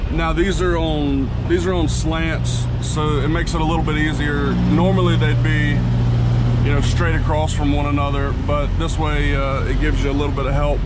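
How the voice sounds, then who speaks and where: Loud background noise runs under speech delivered at a moderate pace. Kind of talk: tutorial. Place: car. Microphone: phone near.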